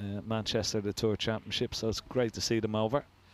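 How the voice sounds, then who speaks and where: On a very clean recording with a silent background, a man with an Irish accent speaks at a fairly low pitch in a monotone, flat way. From Ireland. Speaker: snooker commentator. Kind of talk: live commentary. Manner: casual, chatty.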